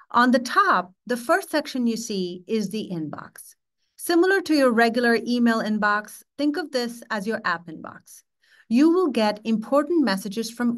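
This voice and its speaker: Her pitch swinging very widely, a woman speaks against a quiet background. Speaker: presenter. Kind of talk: tutorial. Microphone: webcam.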